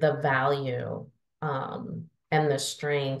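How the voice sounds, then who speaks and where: A woman speaks with a Northern US accent. Her pitch is very deep and low. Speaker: adult learning strategist and adjunct faculty. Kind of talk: podcast interview. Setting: podcast.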